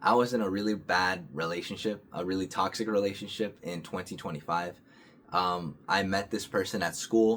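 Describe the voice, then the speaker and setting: Very deep and low, a man's voice moves at a moderate pace. His intonation stays fairly even. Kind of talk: casual talk to camera. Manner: hesitant, stuttering.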